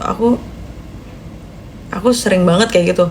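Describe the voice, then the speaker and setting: A woman talks at medium pitch with ordinary pitch variation while noticeable background noise plays behind her. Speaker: newly graduated doctor livestreamer. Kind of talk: casual live stream chat. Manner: chatty, reads comments aloud.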